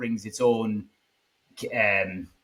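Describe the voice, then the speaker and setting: Medium-pitched man's voice with an Irish accent, a bright, sharp tone, and fairly even intonation. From Ireland. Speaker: podcast host. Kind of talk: interview.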